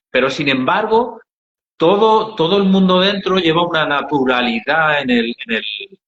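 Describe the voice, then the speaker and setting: A man speaks with an Andalusian accent at a moderate pace. His pitch is high and his intonation lively. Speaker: NGO founder. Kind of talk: interview storytelling. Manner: hesitant, many fillers.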